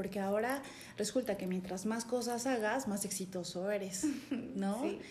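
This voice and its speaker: A woman of medium pitch speaks at a moderate pace with fairly even intonation, the recording carrying audible room echo and noticeable background noise. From Chiapas, Mexico (San Cristóbal de las Casas). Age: 30s. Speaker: life coach. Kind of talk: interview conversation.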